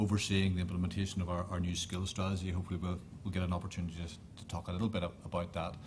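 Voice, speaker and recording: The speaker has a Northern Irish accent and a somewhat breathy voice with fairly even intonation. Room echo is audible. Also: man. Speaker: government official. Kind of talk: panel discussion.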